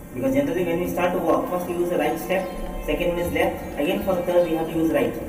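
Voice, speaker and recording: Speech moves at a fairly quick pace over clear background music, with audible room echo. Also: man. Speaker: tour guide. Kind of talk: guided tour explanation. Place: tunnel cave. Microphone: phone near.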